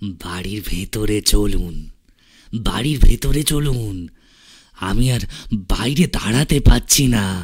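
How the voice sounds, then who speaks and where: A man performs a put-on character voice at a fairly low pitch. He delivers it at a very slow pace. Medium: read story. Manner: grave, terse, pleading.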